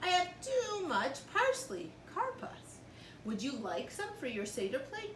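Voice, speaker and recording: A put-on character voice speaks at a fairly slow pace. Clear background noise is present. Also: woman, extremely high pitch for a woman. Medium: read story. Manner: eager, friendly.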